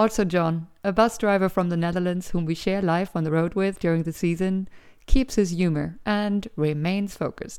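A woman with a German accent talks at a moderate pace and medium pitch, with fairly even intonation. The recording is very clean, with a silent background. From Germany. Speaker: tour guide and podcast host. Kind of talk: scripted narration. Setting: home recording.

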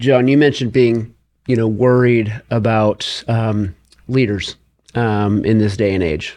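A man speaks at a fairly slow pace. His pitch sits in the middle range. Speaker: podcast interviewer, educator. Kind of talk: interview conversation. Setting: video call. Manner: enthusiastic, animated.

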